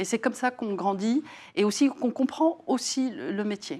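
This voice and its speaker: On a very clean recording with a silent background, a woman speaks in a fairly high voice. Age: 60s. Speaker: facilities and workplace services executive. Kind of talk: interview. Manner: hesitant, many fillers.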